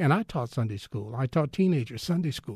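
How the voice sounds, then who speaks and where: Against a quiet background, a man with lively intonation sounds somewhat breathy, the sound dry and close with no echo. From Texas, Fort Worth. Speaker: retired newspaper columnist and journalist. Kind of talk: interview.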